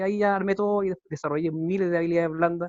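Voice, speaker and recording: A man talking at a very fast clip. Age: 40s. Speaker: engineer and consultant. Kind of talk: casual chat. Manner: halting.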